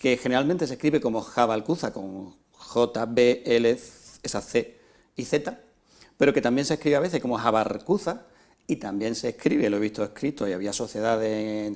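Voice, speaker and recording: This man has a normal speaking voice at a medium pitch, moving at a moderate pace with ordinary pitch variation. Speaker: local TV presenter. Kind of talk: TV interviewer questions.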